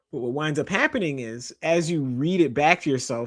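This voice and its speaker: A man speaks in a normal speaking voice at a fairly high pitch and a moderate pace. The recording is very clean, with a silent background. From Canada. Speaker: journalist and author. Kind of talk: interview. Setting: live stream.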